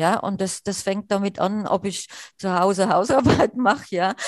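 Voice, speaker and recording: A woman with a strong Hessian accent talks at a fairly slow pace with fairly even intonation. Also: dry, close sound with no echo. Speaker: wheelchair user and accessibility activist. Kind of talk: interview. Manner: halting with many fillers.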